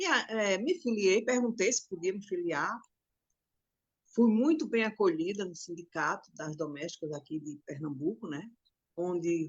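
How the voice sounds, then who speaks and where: A woman with an ordinary speaking voice at a medium pitch, at a fairly slow pace. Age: 60s. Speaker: domestic workers' union leader. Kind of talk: interview testimony.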